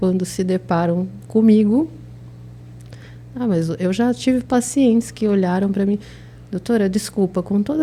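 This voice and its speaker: A soft-spoken woman talks with a somewhat breathy voice at medium pitch. Her pitch varies in an ordinary way. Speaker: oral and maxillofacial surgeon. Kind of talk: interview.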